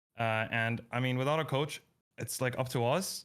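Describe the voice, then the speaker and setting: The speaker has a Russian accent. The recording is very clean, with a silent background. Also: man. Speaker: esports player. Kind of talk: post-match interview. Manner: halting.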